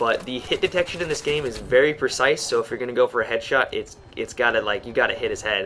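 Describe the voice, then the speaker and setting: Noticeable background noise accompanies a man who talks at a very fast pace. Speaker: gaming commentator. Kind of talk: gameplay commentary. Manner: casual with many fillers.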